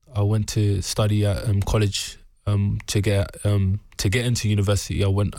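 In a London accent, a man with a fairly low pitch and a dark, mellow tone speaks in a monotone, flat intonation on a very clean recording with a silent background. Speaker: professional boxer. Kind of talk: interview.

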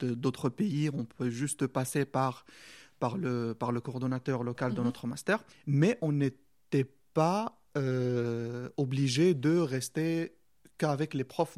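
A man with an Arabic accent speaks very slowly at a medium pitch, with ordinary pitch variation. The sound is dry and close, with no echo. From Morocco. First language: Arabic (speaking French). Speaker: doctoral student. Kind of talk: interview. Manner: halting.

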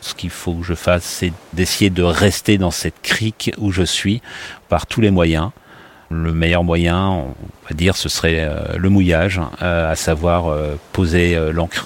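Very slowly, a man speaks in a very deep, low pitch with fairly even intonation. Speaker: airline pilot, rescue survivor. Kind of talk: personal testimony. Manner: hesitant, with fillers.

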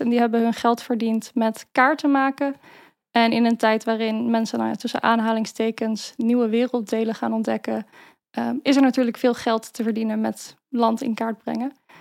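A woman's fairly high voice at a moderate pace, flat and monotone in intonation, on a very clean recording with a silent background. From Netherlands, Maarssen (Utrecht province). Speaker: researcher and political staffer. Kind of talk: interview. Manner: hesitant, many fillers.

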